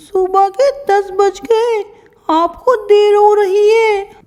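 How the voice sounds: A female-sounding voice uses a put-on character voice at an extremely high pitch for a woman, moving at a fairly slow pace.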